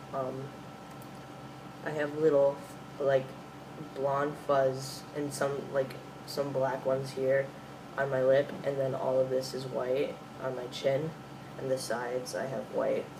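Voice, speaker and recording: A man with an American accent speaks at a fairly slow pace with long, frequent pauses. Audible room echo and noticeable background noise fill the recording. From US Midwest. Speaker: vlogger. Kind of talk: video diary. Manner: hesitant, many fillers.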